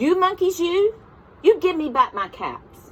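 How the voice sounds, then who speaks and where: Using a put-on character voice, a woman talks fairly slowly at an extremely high pitch. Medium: read story.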